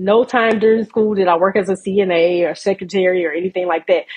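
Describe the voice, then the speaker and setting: A woman with a plain, everyday voice speaks at a moderate pace, her medium pitch showing ordinary variation. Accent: American. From US South, South Georgia. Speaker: registered nurse and entrepreneur. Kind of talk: interview, personal story.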